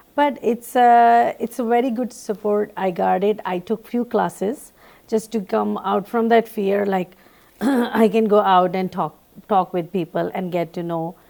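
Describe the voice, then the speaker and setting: In a Pakistani accent, a woman with a medium pitch and a dark, mellow tone speaks at a fairly slow pace. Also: ordinary pitch variation. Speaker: panel guest. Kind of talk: panel discussion.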